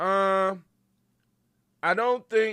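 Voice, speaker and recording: In a very clean recording with a silent background, a raised, projected voice comes through with a bright, sharp, animated tone and ordinary pitch variation. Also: man. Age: 60s. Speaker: podcast host. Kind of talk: casual talk show.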